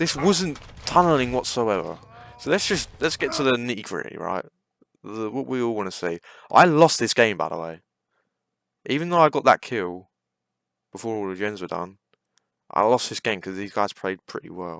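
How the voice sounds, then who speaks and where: In a British accent, a man speaks with very wide pitch swings, big swings in loudness and long, frequent pauses. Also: medium pitch for a man, moderate pace. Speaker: gaming YouTuber. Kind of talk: gameplay commentary rant.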